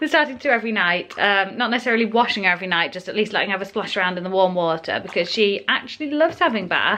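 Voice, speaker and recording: A woman's medium-pitched voice at a very fast pace, lively intonation and hardly any pauses, over noticeable background noise. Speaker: parenting vlogger. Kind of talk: casual vlog narration. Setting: at home. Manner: soft-spoken.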